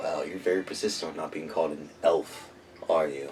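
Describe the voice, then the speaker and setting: Over clear background noise, a man uses a raspy put-on character voice with a very deep, low pitch at a fairly quick pace. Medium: actual play. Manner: mocking, dismissive.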